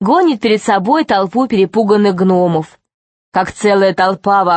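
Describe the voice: Plain reading aloud over a quiet background, the pitch varying in an ordinary way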